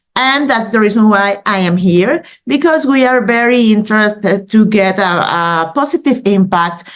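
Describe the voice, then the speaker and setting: A woman talks at a fairly high pitch with a Mexican accent. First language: Spanish. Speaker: news editor. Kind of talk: presentation. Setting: video call. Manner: halting, many fillers.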